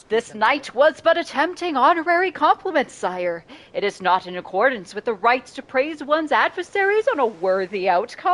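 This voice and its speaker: A woman performs a put-on character voice that is high-pitched, gravelly and strained, with very wide pitch swings at a moderate pace. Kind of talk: archaic, formal.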